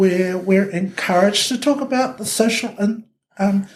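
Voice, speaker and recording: A woman speaks at a fairly slow pace with a New Zealand accent. Her pitch is medium, with ordinary variation. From New Zealand, Ōtara, South Auckland. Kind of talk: podcast interview answer.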